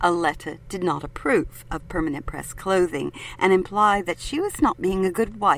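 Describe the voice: What you hear is plain reading aloud.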